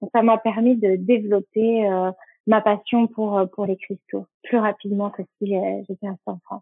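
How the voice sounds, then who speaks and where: Speaking at a fairly slow pace, a woman with a medium pitch keeps a monotone, flat intonation despite big swings in loudness. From French Basque Country. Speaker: make-up artist and skincare brand founder. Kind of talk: casual interview. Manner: halting with frequent euh.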